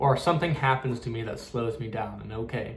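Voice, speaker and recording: A man talks in a medium-pitched voice, his pitch rising and falling in an ordinary way, with room echo clearly audible. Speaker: spiritual medium. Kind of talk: casual spiritual talk to camera. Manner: fast; halting, with many fillers and repeats.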